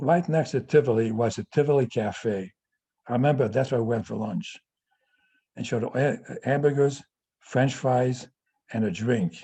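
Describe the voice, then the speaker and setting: Speaking at a moderate pace with long, frequent pauses, a man uses a medium pitch with ordinary variation and a dark, mellow, somewhat breathy tone. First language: Yiddish. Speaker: family elder telling life story. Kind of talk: personal testimony on video call. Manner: halting, with repeated stutters.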